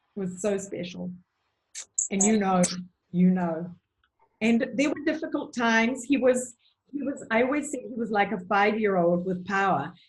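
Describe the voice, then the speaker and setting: A woman with a New Zealand accent, fairly high in pitch with lively intonation, at a moderate pace with long, frequent pauses. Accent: New Zealand, charming. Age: 70s. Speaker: nutritionist. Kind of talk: interview.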